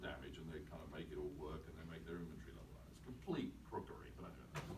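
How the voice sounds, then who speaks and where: A man with an English accent at a very fast pace, with audible room echo and noticeable background noise. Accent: received pronunciation. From England. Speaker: company chief executive. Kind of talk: talk with audience. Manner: animated.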